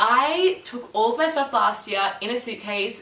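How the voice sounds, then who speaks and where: Against noticeable background noise and audible room echo, a woman speaks with an Australian accent at a fairly high pitch. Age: 20s. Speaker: vlogger, former summer camp counselor. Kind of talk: casual vlog talk to camera. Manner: chatty.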